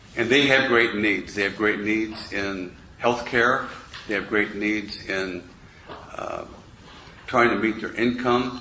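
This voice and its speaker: A man's very slow, medium-pitched speech with fairly even intonation, long and frequent pauses, audible room echo and noticeable background noise. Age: 60s. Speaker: political candidate. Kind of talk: candidate forum answer. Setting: public forum at city hall.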